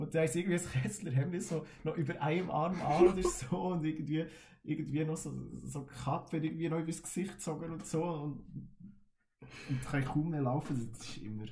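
A man with a dark, mellow tone and a fairly high pitch talks at a fairly quick pace. Room echo is audible. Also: ordinary pitch variation. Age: 20s. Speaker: carnival band musician. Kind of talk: casual chat.

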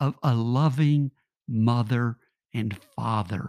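A man speaks at a very slow pace in a somewhat breathy voice. The sound is dry and close, with no echo. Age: 60s. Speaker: podcast host. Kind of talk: spoken reflective meditation.

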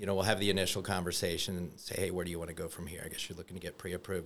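A man talks in a very deep, low pitch. His intonation stays monotone and flat. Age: 50s. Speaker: mortgage loan officer. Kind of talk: casual chat.

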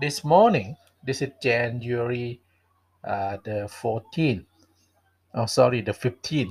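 A man with a Thai accent speaks at a very slow pace in a somewhat breathy, medium-pitched voice, with long, frequent pauses. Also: ordinary pitch variation. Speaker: English teacher and podcast host. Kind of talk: solo podcast monologue. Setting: home library. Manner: hesitant, many fillers.

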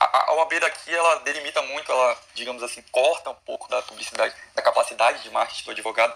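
Noticeable background noise sits behind a man who talks at a very fast pace with hardly any pauses. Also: big swings in loudness. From Brazil. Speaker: law student. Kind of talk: live Q&A question.

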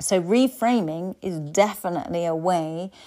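A woman with an English accent, medium pitch, dark and mellow tone, ordinary pitch variation and a fairly slow pace, on a very clean recording with a silent background. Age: 50s. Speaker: life coach. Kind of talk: solo podcast talk.

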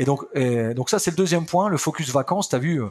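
In an ordinary speaking voice, a man with fairly high pitch talks at a fairly quick pace on a very clean recording with a silent background. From France, Picardy. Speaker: company founder and boss. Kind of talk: interview.

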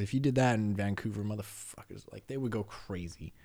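Fairly low for a man, this voice in a Canadian accent has a dark, mellow tone and fairly even intonation. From Canada. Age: 30s. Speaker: podcast guest. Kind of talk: casual chat.

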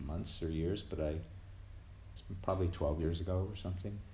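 A man speaks with a very deep, low pitch. His tone is dark, mellow and somewhat breathy. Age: 60s. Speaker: twelve-step meeting speaker. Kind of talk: testimony. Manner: halting.

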